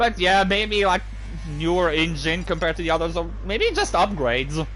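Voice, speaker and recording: A man speaks with music in the background and audible room echo. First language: French. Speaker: video game streamer. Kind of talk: live gameplay commentary with chat. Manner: casual, filler-heavy.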